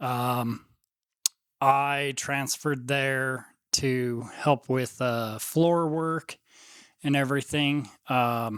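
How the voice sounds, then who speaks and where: With an American accent, a man at medium pitch talks at a very slow pace, his intonation fairly even and his pauses long and frequent. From United States. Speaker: host's husband. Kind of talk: casual interview. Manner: brief, hesitant answers.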